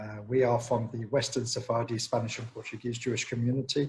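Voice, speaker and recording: A man with an English accent talks at a fairly quick pace, his voice somewhat breathy. The intonation is monotone and flat. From England, London. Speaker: organization president, guest speaker. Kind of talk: presentation.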